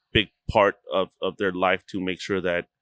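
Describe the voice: A clear, smooth, fairly bright tone at a moderate pace, little pitch movement, and a dry, close sound with no echo. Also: man, low pitch for a man.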